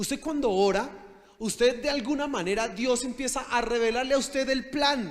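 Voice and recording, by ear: With an extremely high pitch and ordinary pitch variation, a man talks at a moderate pace.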